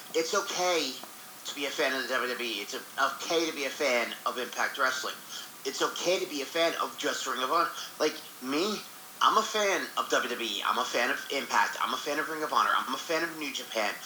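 With lively intonation and a fairly high pitch, a man talks at a fairly quick pace over noticeable background noise. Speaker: co-host. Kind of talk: casual chat.

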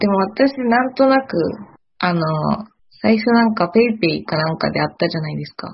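Here a woman talks at a moderate pace. Her voice comes across as somewhat breathy. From Kyoto, Japan. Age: 20s. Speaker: new farm employee. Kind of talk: casual chat.

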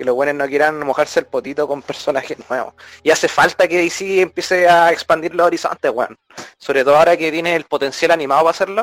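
Speaking at a very fast pace, a man with a Chilean accent uses a fairly high pitch and fairly even intonation. The sound is dry and close, with no echo. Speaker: podcast co-host. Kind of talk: casual chat.

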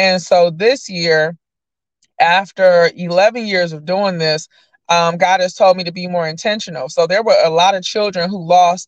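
A woman with an American accent and a medium pitch speaks at a fairly slow pace with fairly even intonation. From Detroit, Michigan (Lower East Side). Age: 30s. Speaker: nonprofit founder and community worker. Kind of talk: casual interview.

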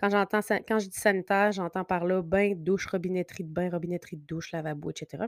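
A woman speaks with a Quebec accent and ordinary pitch variation. The sound is dry and close with no echo, and the recording is very clean with a silent background. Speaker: podcast host, interior designer. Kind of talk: casual solo podcast monologue. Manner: hesitant, many fillers.

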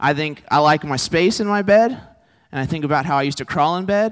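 A man with a Texan accent speaks with lively intonation in a very clean recording with a silent background. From Texas. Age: 20s. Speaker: campus ministry preacher. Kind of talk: sermon.

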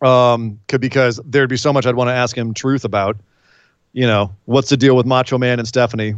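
A man's medium-pitched voice in an American accent, monotone and flat, at a fairly quick pace against a quiet background. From California. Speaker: wrestling podcast co-host. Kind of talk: casual chat.

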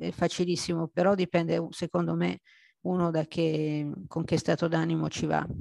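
A woman at a moderate pace, very even in loudness, with dry, close sound, no echo and a quiet background. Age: 50s. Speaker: amateur adult ballet dancer. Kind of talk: interview testimony. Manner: halting.

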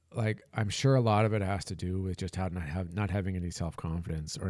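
Very deep and low, a man's voice moves at a fairly quick pace in a very clean recording with a silent background. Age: 40s. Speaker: podcast host. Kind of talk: personal monologue. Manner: halting.

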